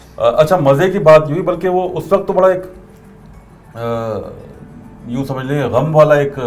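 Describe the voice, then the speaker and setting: Fairly high-pitched man with music in the background and audible room echo. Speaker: radio presenter. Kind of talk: interview.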